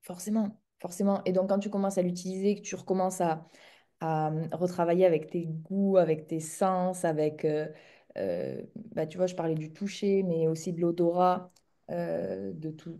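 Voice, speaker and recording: In a southern French accent, a woman speaks at a fairly slow pace and a fairly low pitch, her tone dark and mellow and her intonation monotone and flat. Her loudness swings widely against a quiet background. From southern France, near Montpellier. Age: 30s. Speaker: entrepreneur in the equestrian business. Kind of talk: interview conversation.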